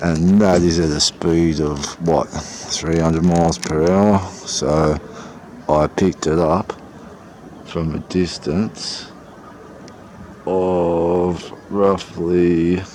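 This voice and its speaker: With a slight Australian accent, a man talks very slowly in a very deep, low pitch, flat and monotone, leaving long, frequent pauses against noticeable background noise. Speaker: sky-watching videographer. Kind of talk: casual live narration while filming. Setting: outdoors on a balcony. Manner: rambling, hesitant with fillers.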